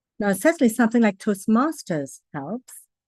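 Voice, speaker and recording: A fairly high-pitched woman's voice in a Trinidadian accent, with lively intonation and a dry, close sound without echo. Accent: Trinidadian English, practiced clear diction. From Trinidad and Tobago. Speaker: public speaking coach. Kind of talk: online talk answering questions. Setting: video call.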